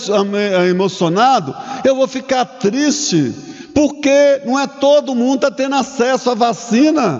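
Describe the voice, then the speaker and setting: This man's extremely high voice carries lively intonation at a very slow pace. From Brazil, Minas Gerais (Curvelo). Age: 60s. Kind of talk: sermon. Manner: halting, with restarts and fillers.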